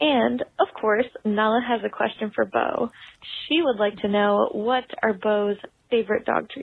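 A woman with a plain, everyday voice, fairly high in pitch, at a fairly slow pace with ordinary pitch variation. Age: 20s. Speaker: listener leaving a voicemail. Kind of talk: recorded voicemail.

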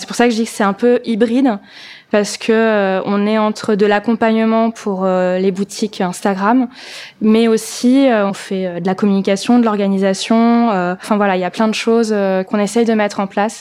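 Fairly high-pitched female voice at a moderate pace, monotone and flat in intonation, on a very clean recording with a silent background. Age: 30s. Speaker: vintage shop owner and event organizer. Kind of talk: testimony. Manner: casual with hesitations.

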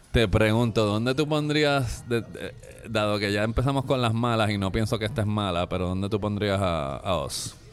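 At a moderate pace, a man with a fairly low pitch and ordinary pitch variation talks over music in the background. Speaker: film critic. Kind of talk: casual chat. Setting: restaurant.

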